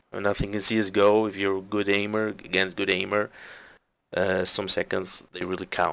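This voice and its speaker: A man with a fairly low pitch, monotone, flat intonation and a non-native accent, on a very clean recording with a silent background. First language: not English. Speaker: game coach reviewing gameplay. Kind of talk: gameplay commentary review. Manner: halting.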